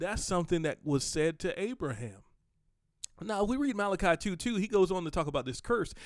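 On a very clean recording with a silent background, a man talks at a fairly quick pace and a high pitch, animated in tone with lively intonation. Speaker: podcast host and preacher. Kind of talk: sermon-style teaching. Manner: animated, conversational.

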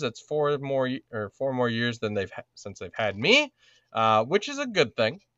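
Lively intonation marks a man's unremarkable speaking voice. He talks at a moderate pace in a medium pitch. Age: 30s. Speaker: podcast co-host, father. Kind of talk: casual chat.

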